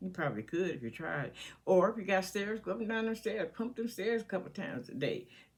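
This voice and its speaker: A woman's medium-pitched voice with lively intonation, vocal fry and a fairly quick pace. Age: 70s. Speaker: lifestyle vlogger. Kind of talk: casual advice monologue. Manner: conversational, hesitant.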